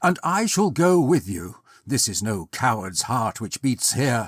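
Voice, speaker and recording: A man uses a put-on, growling character voice at medium pitch, moving at a fairly slow pace with very wide pitch swings. The sound is dry and close with no echo, a very clean recording over a silent background. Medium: read story. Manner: anxious, emotional.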